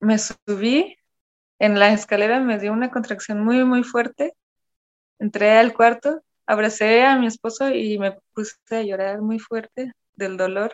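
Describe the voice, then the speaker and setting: At a fairly slow pace, a woman speaks in a plain, everyday voice with fairly even intonation. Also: fairly high pitch for a woman. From Germany, Cologne. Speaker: photographer and dancer. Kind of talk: personal storytelling interview.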